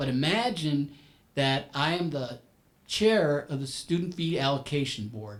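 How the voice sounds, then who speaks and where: Lively intonation marks this man's fairly high-pitched voice as he talks at a fairly slow pace. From US, Puerto Rican family, inner city. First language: Spanish. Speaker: business professional panelist. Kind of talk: panel talk. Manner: halting, many repeated words.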